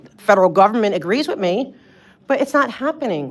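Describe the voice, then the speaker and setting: A loud woman with an East Coast US accent speaks with very wide pitch swings. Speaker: public commenter at city meeting. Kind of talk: public comment. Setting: city council meeting. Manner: halting.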